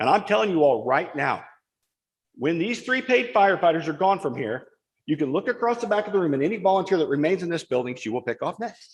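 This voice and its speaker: Very fast, loud delivery with very wide pitch swings. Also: man, high pitch for a man. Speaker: firefighter speaking at public comment. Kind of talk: public comment at township board meeting. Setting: township board meeting room.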